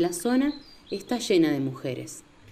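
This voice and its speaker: Over noticeable background noise, a woman speaks at a fairly slow pace with very wide pitch swings. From Entre Ríos, Argentina. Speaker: podcast narrator. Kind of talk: scripted narration.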